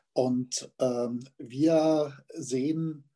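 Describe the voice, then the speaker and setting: Dark, mellow male speech with ordinary pitch variation. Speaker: literary magazine editor and poet. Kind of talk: interview. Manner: halting, many fillers.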